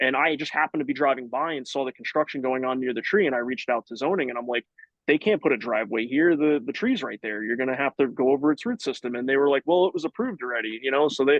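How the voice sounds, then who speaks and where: A man speaks at a very fast pace with hardly any pauses. His pitch variation is ordinary. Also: medium pitch for a man. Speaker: city forester. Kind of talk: live online Q&A session. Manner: casual, many fillers.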